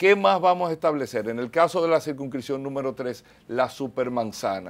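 The speaker is a man at a moderate pace. His intonation is lively. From Dominican Republic. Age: 40s. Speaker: mayoral candidate; candidate. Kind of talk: TV interview. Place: studio. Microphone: lapel.

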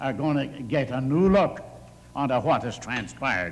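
The man's speech proceeds at a moderate pace. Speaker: council chair addressing a member. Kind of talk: heated council debate remarks. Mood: angry, scolding. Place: hall. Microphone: podium.

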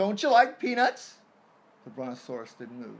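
A man speaks at a moderate pace. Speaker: storyteller. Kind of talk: storytelling read-aloud with character voices. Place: home room. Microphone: phone near.

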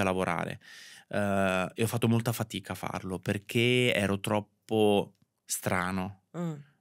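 An unremarkable speaking voice from a man, fairly low in pitch with ordinary pitch variation, at a fairly slow pace against a quiet background. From Italy, Marche (Ancona province). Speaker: fashion stylist. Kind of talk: interview. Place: studio. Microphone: studio mic.

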